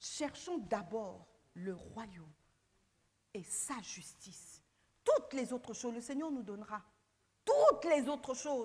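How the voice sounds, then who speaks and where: A woman's very slow delivery with very wide pitch swings. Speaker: pastor. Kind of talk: sermon. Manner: animated.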